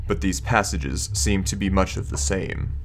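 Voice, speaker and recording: Against clear background noise, a man uses a put-on character voice at a moderate pace. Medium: read story.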